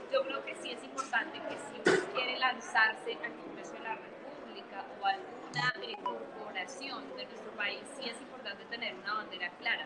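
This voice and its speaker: A woman with a high voice talks at a moderate pace with hardly any pauses, her pitch swinging very widely and her loudness rising and falling sharply, over background music in a room with audible echo. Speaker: political scientist and political candidate. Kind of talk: interview. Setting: livestream.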